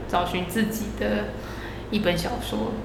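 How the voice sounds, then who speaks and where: A woman talks at a fairly slow pace, with audible room echo and noticeable background noise. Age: around 30. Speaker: podcast co-host, former publishing worker. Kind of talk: casual chat.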